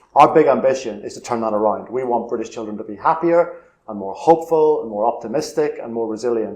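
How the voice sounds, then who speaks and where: A man speaks very fast in a Northern Irish accent. His pitch is medium, with ordinary pitch variation. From Northern Ireland, Belfast. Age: 50s. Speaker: charity chief executive. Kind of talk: interview.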